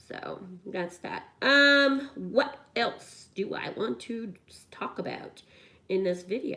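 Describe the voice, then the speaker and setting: Very slow pace, lively intonation and big swings in loudness. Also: woman, fairly high pitch for a woman. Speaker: YouTuber doing a craft/coloring video. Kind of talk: casual chat to camera while crafting. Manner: rambling, with many fillers and restarts.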